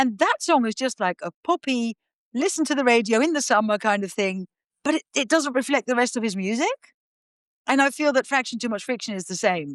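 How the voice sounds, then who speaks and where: A woman's high-pitched voice with a Dutch accent, very wide pitch swings and a fairly quick pace, in a dry, close sound with no echo over a quiet background. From Netherlands. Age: 50s. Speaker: podcast guest. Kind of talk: casual chat. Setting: remote call.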